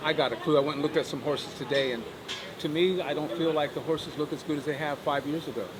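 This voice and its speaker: Someone with an American accent talks at a very fast pace, with noticeable background noise and audible room echo. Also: man. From Ohio, US Midwest. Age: 60s. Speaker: horseman, horse sales agent. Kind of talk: casual interview. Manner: animated.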